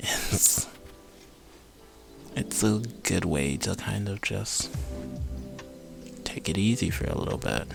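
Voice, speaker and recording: A man in a calm, relaxed tone, fairly low-pitched, with very wide pitch swings and a very slow pace over music in the background. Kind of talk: ASMR vlog, casual soft-spoken talk to camera. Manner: soft, calm, relaxed.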